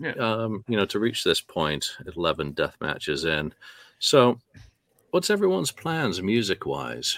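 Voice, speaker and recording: The voice has vocal fry and very wide pitch swings, recorded dry and close with no echo and a very clean, silent background. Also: man, fairly low pitch for a man. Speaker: podcast host. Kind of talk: casual chat. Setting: studio.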